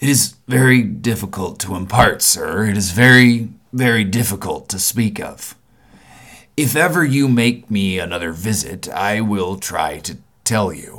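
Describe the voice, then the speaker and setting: A raspy, put-on character voice delivers lines at a moderate pace with lively intonation. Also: man, fairly low pitch for a man. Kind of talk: ghost story reading. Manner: grave, troubled, uneasy.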